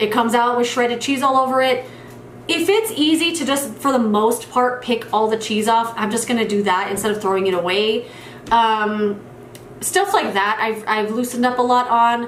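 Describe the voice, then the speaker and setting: A woman's fairly high voice with ordinary pitch variation at a moderate pace, amid noticeable background noise and audible room echo. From New Mexico. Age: 30s. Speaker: beauty youtuber. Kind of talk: casual Q&A monologue.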